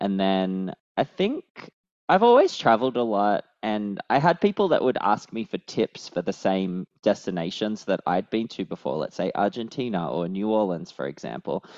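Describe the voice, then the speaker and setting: With an Australian accent, a man speaks at a moderate pace in a fairly low voice with lively intonation. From Australia, Sydney. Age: 30s. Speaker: travel points writer. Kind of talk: casual chat. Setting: video call.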